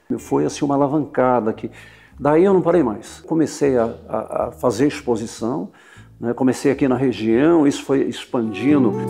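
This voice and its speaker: With music in the background, a man of medium pitch talks at a moderate pace with ordinary pitch variation. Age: 60s. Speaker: sculptor. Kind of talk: interview testimony. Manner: halting, with repetitions.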